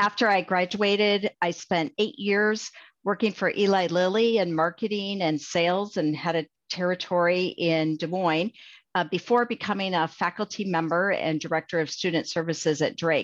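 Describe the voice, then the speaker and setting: A woman with a Midwestern American accent at medium pitch and moderate pace, ordinary pitch variation, very even loudness and a quiet background. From Iowa, US Midwest. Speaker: pharmacy school dean. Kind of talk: interview.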